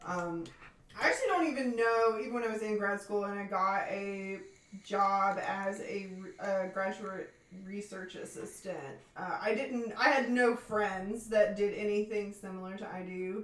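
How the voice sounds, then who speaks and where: With an American accent, a woman talks at a moderate pace at medium pitch with fairly even intonation, her loudness swinging widely, over audible room echo and noticeable background noise. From Tennessee, US South. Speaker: researcher, former graduate research assistant. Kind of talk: casual chat. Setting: live stream.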